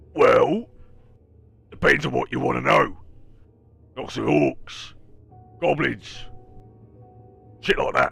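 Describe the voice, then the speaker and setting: A man's raspy, put-on character voice at a fairly slow pace, broken by long, frequent pauses, with faint music in the background. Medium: actual play. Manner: crude, blunt, ungrammatical.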